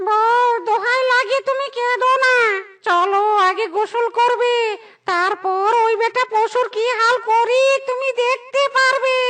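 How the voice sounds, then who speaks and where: In a cartoonish character voice, the speaker uses an extremely high pitch and a fairly slow pace. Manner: anxious, placating.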